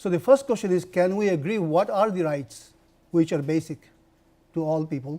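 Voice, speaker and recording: Dark and mellow in tone yet high in pitch, a man talks at a fairly quick pace with ordinary pitch variation. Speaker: professor. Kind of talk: lecture.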